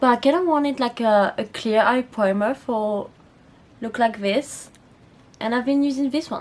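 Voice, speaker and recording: Speaking at a moderate pace, a woman with a French accent has a high pitch and ordinary pitch variation. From France. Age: 20s. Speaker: beauty youtuber. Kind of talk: makeup tutorial. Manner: casual, chatty.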